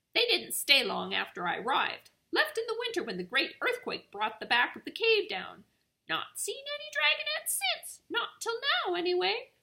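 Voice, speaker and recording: A woman uses a squeaky, put-on character voice at an extremely high pitch. She projects her raised voice at a moderate pace. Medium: read story. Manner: grumbling, snappish.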